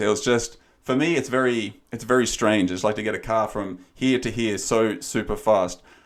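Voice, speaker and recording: A man's fairly low-pitched voice on a very clean recording with a silent background. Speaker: life coach and podcast co-host. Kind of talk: casual chat. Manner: calm, quiet.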